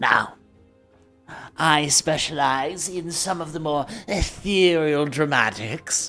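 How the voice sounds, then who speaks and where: Faint music plays behind a put-on character voice at a middle pitch. The delivery is fairly slow, with long, frequent pauses. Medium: actual play. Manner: polite, refined, theatrical.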